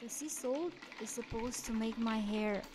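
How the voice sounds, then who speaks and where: Over noticeable background noise, a woman with a fairly high pitch talks at a fairly slow pace with ordinary pitch variation. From Romania. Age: 40s. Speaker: beauty and face massage content creator. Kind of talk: casual talk to camera, instructional.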